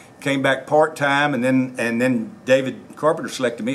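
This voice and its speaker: Over noticeable background noise, a man speaks very fast at a medium pitch with fairly even intonation. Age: 60s. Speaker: sheriff candidate, retired law enforcement officer. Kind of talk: interview. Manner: halting, many fillers.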